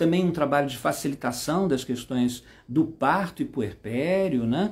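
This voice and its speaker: A man with a Brazilian accent, fairly high in pitch, with ordinary pitch variation and hardly any pauses. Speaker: psychomotor therapist and trainer. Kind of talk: live stream talk. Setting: Instagram live. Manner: hesitant, many fillers.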